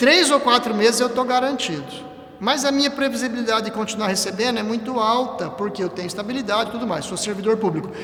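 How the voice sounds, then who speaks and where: Talking very fast with hardly any pauses, a man with an extremely high-pitched voice and ordinary pitch variation comes through over noticeable background noise and audible room echo. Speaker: church lay teacher, civil servant. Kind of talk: church teaching talk on a livestream. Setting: church livestream.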